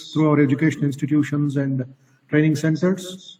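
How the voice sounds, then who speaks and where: A man speaks in a Telugu accent. His pace is very fast. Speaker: monk speaker. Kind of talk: webinar talk. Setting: online webinar.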